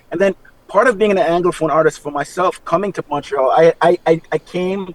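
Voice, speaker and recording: A man speaks at a very fast pace. The sound is dry and close with no echo, with noticeable background noise. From Trinidad. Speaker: hip hop artist. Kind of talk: radio interview.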